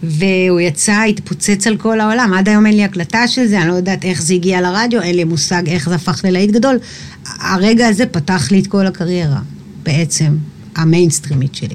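Over noticeable background noise, a woman at a medium pitch talks at a fairly quick pace with ordinary pitch variation and very even loudness. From Israel, Eilat. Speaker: singer. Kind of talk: casual chat.

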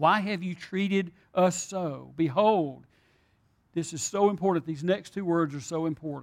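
A man talks at a high pitch and moderate pace with ordinary pitch variation, recorded very cleanly against a silent background. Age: old. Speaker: pastor. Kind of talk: sermon.

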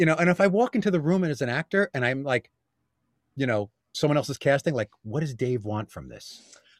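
The speaker has a New York accent and lively intonation at a fairly quick pace. The sound is dry and close, with no echo. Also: man, fairly high pitch for a man. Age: 50s. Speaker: actor and voiceover artist. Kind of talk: casual interview.

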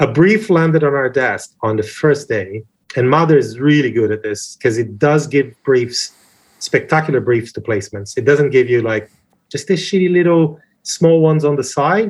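With a Portuguese accent, a man speaks at a moderate pace and a fairly high pitch. His intonation is lively and his voice somewhat breathy. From Brazil. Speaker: advertising creative director. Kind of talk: interview.

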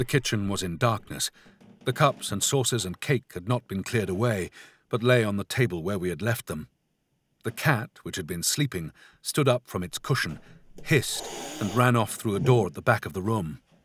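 In an unremarkable speaking voice, a man at medium pitch talks at a moderate pace with lively intonation, recorded very cleanly against a silent background with a dry, close sound and no echo. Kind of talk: gothic horror audiobook narration. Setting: studio.

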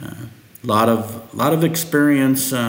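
Noticeable background noise and audible room echo surround a man speaking with a Midwestern US accent. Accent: US Midwest. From Nebraska. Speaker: agronomist. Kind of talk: interview.

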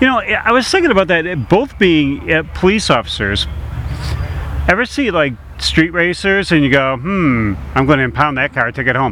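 A man's fairly high voice proceeds at a moderate pace amid noticeable background noise. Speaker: radio host. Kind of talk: casual radio interview. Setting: radio show at a car show. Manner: upbeat, jovial.

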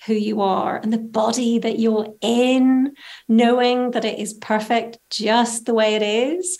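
This woman has a Northern Irish accent and a fairly high pitch. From Northern Ireland. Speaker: style coach. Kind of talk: interview.

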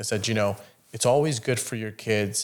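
At a fairly quick pace, a man talks in a normal speaking voice with a fairly low pitch. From Iran, raised in Italy, Canada from teen years. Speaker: entrepreneur, insurance company CEO. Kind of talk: casual interview.

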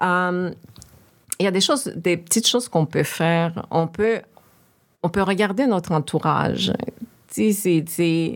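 A woman talks fairly slowly in a fairly low voice, her pitch varying in an ordinary way. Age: 40s. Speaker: professional speaking on systemic racism. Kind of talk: casual conversation.

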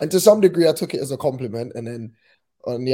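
Speaking at a very fast pace with lively intonation, this voice has a dark, mellow tone and a London accent. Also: man. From southeast London. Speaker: singer-songwriter. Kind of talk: casual interview chat. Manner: hesitant, filler-heavy.

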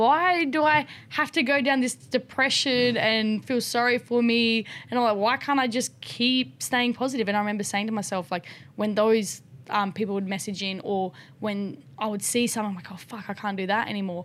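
Lively intonation marks this voice with an Australian accent. The pace stays moderate. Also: woman, fairly high pitch for a woman. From rural South Australia. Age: 20s. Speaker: motocross rider and paraplegic drift car builder. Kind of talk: casual interview.

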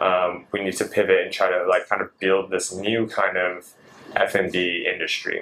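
A fairly slow man's voice in an American accent, with noticeable background noise. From US West Coast (Seattle). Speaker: chef and granola business owner. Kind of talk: casual interview.

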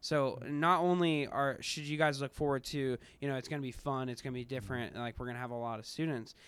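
Very fast and fairly high-pitched, a man with an American accent talks with fairly even intonation in a very clean recording with a silent background. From US Midwest, Kansas City area. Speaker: new church staff member. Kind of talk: casual interview.

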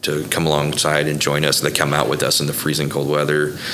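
A man with an American accent and a very deep, low pitch is heard with noticeable background noise and audible room echo. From Oklahoma (Bethany). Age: 40s. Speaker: coffee business owner, nonprofit founder. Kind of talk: interview conversation.

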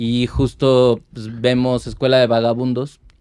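A man talks in a dark, mellow tone. His intonation stays monotone and flat. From Mexico City, Iztapalapa. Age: 40s. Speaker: ska band vocalist. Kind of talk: casual interview chat.

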